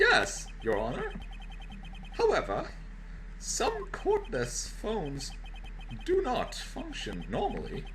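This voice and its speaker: A man's put-on character voice at a very slow pace, with long, frequent pauses over clear background noise. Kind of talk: courtroom speech. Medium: game stream.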